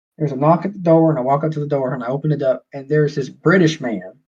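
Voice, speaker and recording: With a Southern US accent, a man speaks in a somewhat breathy voice at a fairly high pitch. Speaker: podcast guest. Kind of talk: casual chat.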